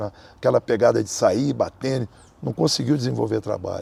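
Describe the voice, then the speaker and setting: A man speaks at a moderate pace. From Brazil. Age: 60s. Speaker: capoeira master. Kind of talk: interview.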